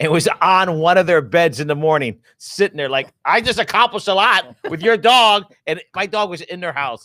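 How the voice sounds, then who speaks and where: High-pitched man with an American accent, a bright, sharp tone and a moderate pace. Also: dry, close sound with no echo, very clean recording, silent background. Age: 60s. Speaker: talk show co-host. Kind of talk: casual chat.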